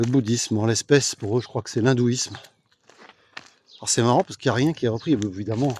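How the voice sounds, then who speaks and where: Talking at a very fast pace yet with long, frequent pauses, a man uses a medium pitch, the sound dry and close with no echo. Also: ordinary pitch variation. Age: 60s. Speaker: political commentator. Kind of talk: casual vlog monologue. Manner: hesitant, many fillers.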